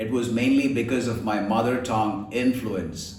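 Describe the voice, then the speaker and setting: Speaking with a Keralan accent at a medium pitch, a man is heard with audible room echo and noticeable background noise. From India, Kerala. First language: Malayalam. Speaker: voice and accent trainer. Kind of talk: tutorial.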